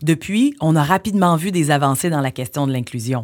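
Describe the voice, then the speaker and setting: With a Quebec accent, a woman talks at a moderate pace in a very deep, low pitch with ordinary pitch variation. The recording is very clean with a silent background. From Quebec, Montreal. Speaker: podcast host and journalist. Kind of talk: scripted narration.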